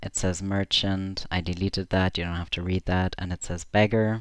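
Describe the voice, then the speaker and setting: A man with a German accent, fairly low in pitch, fairly slow in pace and monotone, flat in intonation. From Germany. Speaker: streamer. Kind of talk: casual livestream commentary. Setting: live stream from home. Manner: halting.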